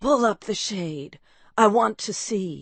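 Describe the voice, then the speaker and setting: A female-sounding put-on character voice, raspy and at medium pitch. It moves at a fairly slow pace. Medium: read story. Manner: quiet.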